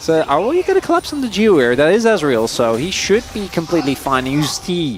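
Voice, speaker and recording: Over background music, a man with a fairly high voice talks fairly quickly, his pitch swinging very widely. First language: Dutch. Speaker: esports caster. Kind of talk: live commentary.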